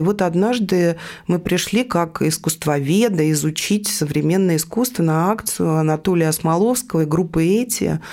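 A woman speaks at a moderate pace in a fairly low pitch with a dark, mellow tone, ordinary pitch variation and very even loudness. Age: 50s. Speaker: art newspaper editor. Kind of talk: interview.

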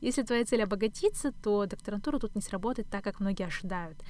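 This woman has an ordinary speaking voice, fairly high in pitch, with ordinary pitch variation and a fairly quick pace. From Kazakhstan, Astana. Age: 20s. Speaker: podcast host, doctoral student. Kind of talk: solo podcast monologue.

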